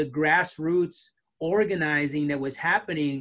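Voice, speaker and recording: A man's high-pitched voice with an American accent, bright, sharp tone and ordinary pitch variation, over a quiet background. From Southern California, US. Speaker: sociology of religion professor. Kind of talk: casual conversation.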